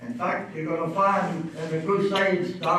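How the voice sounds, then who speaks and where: Delivered fairly slowly, the speech carries audible room echo along with noticeable background noise. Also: man. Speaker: lecturer. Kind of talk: lecture. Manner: halting, many fillers.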